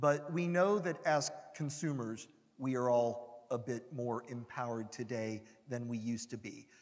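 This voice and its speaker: A man's plain, everyday voice with an American accent, medium pitch, ordinary pitch variation and a moderate pace. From United States. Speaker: industry analyst. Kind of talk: conference talk. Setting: stage with audience.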